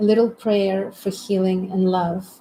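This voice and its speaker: Somewhat breathy and dark, mellow in tone, a woman's medium-pitched voice moves at a fairly slow pace with monotone, flat intonation. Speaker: community host. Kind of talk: live stream conversation. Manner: meditative.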